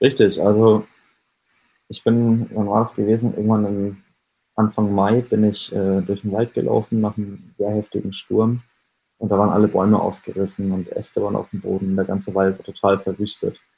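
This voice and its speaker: A man speaks at a moderate pace in a fairly low pitch. His tone is dark and mellow, with monotone, flat intonation. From Lower Franconia, Germany (Schweinfurt area). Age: 20s. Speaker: artist. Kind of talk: interview. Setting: remote call with headset. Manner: hesitant, many fillers.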